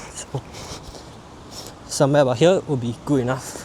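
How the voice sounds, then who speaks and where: Against noticeable background noise, the intonation stays fairly even. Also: man. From Singapore. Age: 20s. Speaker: fitness coach. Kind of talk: fitness tutorial to camera. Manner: casual.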